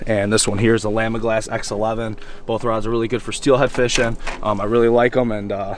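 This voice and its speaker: A man talks at a fairly quick pace. The recording is dry, with no echo. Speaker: fishing guide. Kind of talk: casual instruction. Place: waterside. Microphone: phone near.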